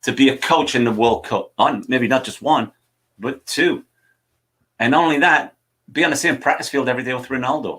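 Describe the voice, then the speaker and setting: Here a man speaks with a Geordie accent. His tone is bright and sharp. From northern England, Newcastle (Wallsend). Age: 60s. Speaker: soccer coaching show host. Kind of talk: live show chat. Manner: animated.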